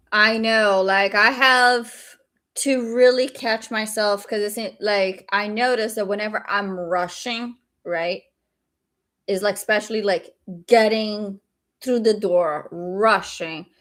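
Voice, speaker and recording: The speaker talks at a very slow pace with a slight Brazilian accent. Intonation stays fairly even on a very clean recording with a silent background. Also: woman, fairly high pitch for a woman. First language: Portuguese. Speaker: day trader streamer. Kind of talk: live stream chat. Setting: live stream.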